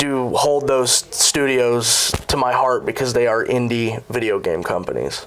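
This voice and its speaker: Against noticeable background noise, a man with a medium pitch speaks at a fairly slow pace, his loudness very even and his intonation fairly even. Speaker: fast-food worker and aspiring game developer. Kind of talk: interview. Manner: hesitant fillers.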